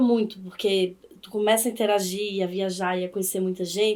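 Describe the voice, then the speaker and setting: A woman is speaking. Her pace is moderate. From Brazilian Northeast, Campina Grande, Paraíba. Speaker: law professor. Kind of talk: podcast interview.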